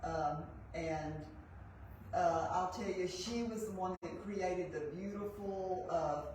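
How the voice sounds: The speech moves at a slow pace with ordinary pitch variation, and room echo is audible. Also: woman, fairly low pitch for a woman.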